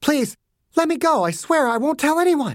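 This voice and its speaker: This put-on character voice moves at a moderate pace with lively intonation. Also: woman. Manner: pleading.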